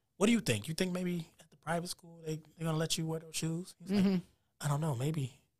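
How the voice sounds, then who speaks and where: With an unremarkable speaking voice, a man talks at a fairly quick pace in a fairly high pitch, showing ordinary pitch variation and big swings in loudness. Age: 30s. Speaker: podcast host. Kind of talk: casual interview chat.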